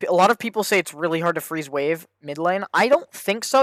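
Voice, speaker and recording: The speech moves at a fairly quick pace with very wide pitch swings. The sound is dry and close with no echo. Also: man. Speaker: gaming streamer reviewing own game. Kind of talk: gameplay VOD review commentary. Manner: fast; casual, self-correcting.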